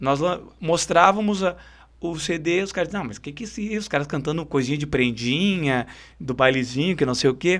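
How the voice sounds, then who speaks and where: A man's fairly high voice in a Porto Alegre accent, with lively intonation at a moderate pace, in a very clean recording over a silent background. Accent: Greater Porto Alegre gaúcho. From southern Brazil, São Leopoldo (Greater Porto Alegre). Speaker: singer and bandleader. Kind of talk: interview.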